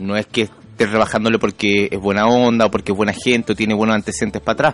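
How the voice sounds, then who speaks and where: A man's fairly low voice at a very fast pace, dry and close with no echo. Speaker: radio host. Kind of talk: radio interview.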